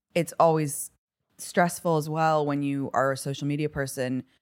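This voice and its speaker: With a General American accent, a woman speaks at a moderate pace and a very deep, low pitch. The recording is very clean, with a silent background. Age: 30s. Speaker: social media influencer.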